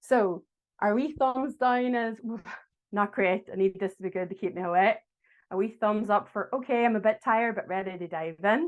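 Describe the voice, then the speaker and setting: A woman with a Derry accent talks at medium pitch and a moderate pace in a quiet setting. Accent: Derry Irish. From Northern Ireland, Derry. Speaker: agile coach. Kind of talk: online talk to an audience. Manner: friendly, engaging.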